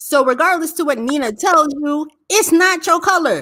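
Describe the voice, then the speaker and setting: A woman speaks in a raised, projected voice. Her tone is bright and sharp, with lively intonation. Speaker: live-stream panelist. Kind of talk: heated live-stream panel discussion. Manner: fast.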